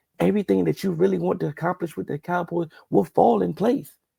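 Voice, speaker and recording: A man's dark, mellow voice with vocal fry, very wide pitch swings and a fairly quick pace. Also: dry, close sound with no echo. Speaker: sports commentator. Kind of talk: casual monologue.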